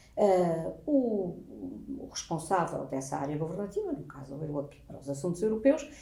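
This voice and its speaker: Amid audible room echo, a woman with a fairly low, somewhat breathy voice and a dark, mellow tone speaks at a moderate pace, with very wide pitch swings and big swings in loudness. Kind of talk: interview answer, explanatory.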